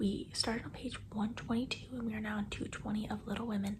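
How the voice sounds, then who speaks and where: A soft-spoken woman whispering in an American accent at a moderate pace. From US Northwest (Oregon). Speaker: book vlogger. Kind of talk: casual vlog. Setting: home at night, others sleeping. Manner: quiet, soft-spoken.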